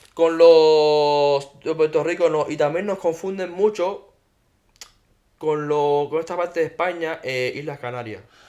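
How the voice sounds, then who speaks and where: There is a Cuban accent in this man's fairly high voice, which has a dark, mellow tone. His intonation is fairly even. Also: fairly slow pace. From Cuba, Havana. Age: 30s. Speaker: podcast guest, Cuban emigrant. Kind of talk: casual chat.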